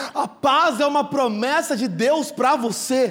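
This man's voice sits at an extremely high pitch with ordinary pitch variation. His tone is animated. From São Paulo state interior, Brazil. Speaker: pastor. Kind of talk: sermon.

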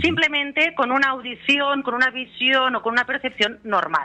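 This woman's voice sits high in pitch. She talks at a moderate pace. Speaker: therapist and author. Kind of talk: radio interview. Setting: phone call. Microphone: telephone line.

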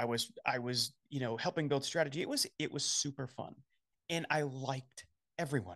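A man speaks with an Upper Midwest accent. His pitch is fairly high and his pace fairly quick. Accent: Upper Midwest American. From South Dakota. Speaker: business founder and coach. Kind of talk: casual interview conversation.

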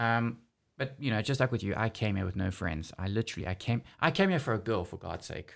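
On a very clean recording with a silent background, a man with a South African accent talks at a fairly quick pace in a medium pitch, his intonation lively. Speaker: podcast host. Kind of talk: casual chat. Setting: studio.

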